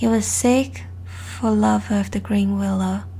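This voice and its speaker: Someone soft-spoken talks at a very slow pace. Noticeable background noise runs underneath. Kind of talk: soft-spoken ASMR story reading.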